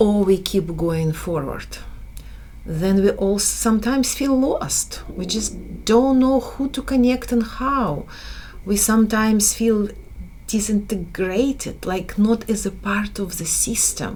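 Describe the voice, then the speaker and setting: In a Slavic accent, a woman speaks at a very slow pace. Audible room echo and noticeable background noise surround her. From Slavic country, Eastern Europe. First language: Slavic language. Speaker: business educator. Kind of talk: online course lecture. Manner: halting.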